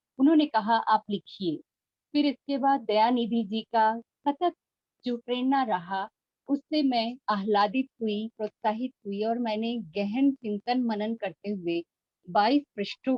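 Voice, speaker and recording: A woman speaks in an Awadh accent with a fairly high pitch. Her voice is somewhat breathy, with ordinary pitch variation. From northern India, Mirzapur (Uttar Pradesh), Awadhi-speaking. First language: Awadhi (speaking Hindi). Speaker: professor. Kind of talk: lecture. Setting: video call. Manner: formal.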